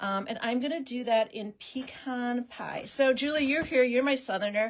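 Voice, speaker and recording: At a fairly slow pace, a woman with a Wisconsin accent talks in an enthusiastic tone and a high pitch. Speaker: paper-crafting demonstration host. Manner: chatty, enthusiastic.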